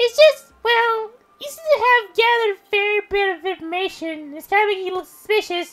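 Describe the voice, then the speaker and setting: Faint music plays in the background as a man does a put-on character voice at an extremely high pitch and a moderate pace. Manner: eager, cheerful.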